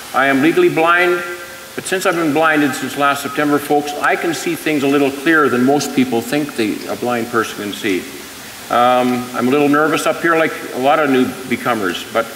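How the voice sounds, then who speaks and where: A man with a Canadian accent speaks at a fairly high pitch and a moderate pace, with ordinary pitch variation. Noticeable background noise and audible room echo fill the recording. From British Columbia, Canada. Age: 60s. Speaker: retired rail worker running for mayor. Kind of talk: candidate forum speech. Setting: stage with audience.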